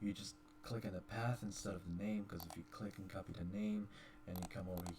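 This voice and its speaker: Noticeable background noise accompanies a man talking at a fairly quick pace with ordinary pitch variation. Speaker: gaming YouTuber. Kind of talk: tutorial. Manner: fast. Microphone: poor voice quality.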